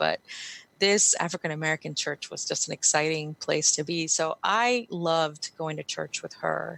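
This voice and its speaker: A woman with a Spanish accent at a moderate pace, in a dry, close sound with no echo. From Guatemala, then Los Angeles and Tampa Bay, Florida. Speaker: writer, speaker and immigrant advocate. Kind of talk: podcast interview, personal testimony.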